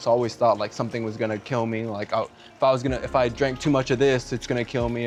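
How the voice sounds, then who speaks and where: Over noticeable background noise, a man talks very fast. His medium-pitched voice stays monotone and flat. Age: 20s. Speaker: guest on a personal development video. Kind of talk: casual conversation, personal story.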